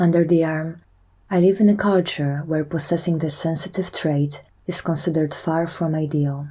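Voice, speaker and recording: On a very clean recording with a silent background, a somewhat breathy, dark, mellow voice speaks at a moderate pace in monotone, flat intonation. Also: woman, fairly low pitch for a woman. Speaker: EFT tapping guide. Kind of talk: guided tapping session.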